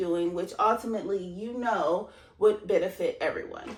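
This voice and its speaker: The woman speaks loudly with an animated tone. Her pace is fairly slow. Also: very clean recording, silent background. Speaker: self-help vlogger. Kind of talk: motivational talk.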